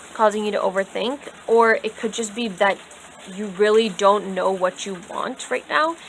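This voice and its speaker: At a moderate pace, a woman with a medium pitch and ordinary pitch variation speaks over noticeable background noise. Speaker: tarot reader. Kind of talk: tarot reading to camera. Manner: casual, filler-heavy.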